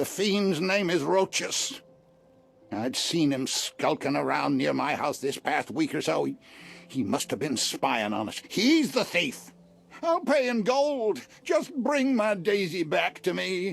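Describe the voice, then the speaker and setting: A put-on character voice sits at a middle pitch. The pace is fairly slow. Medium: video game. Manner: hesitant, emotional.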